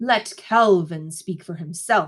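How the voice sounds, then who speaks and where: A woman's growling, put-on character voice at a fairly low pitch. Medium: read story. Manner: gentle, soothing, with hidden menace.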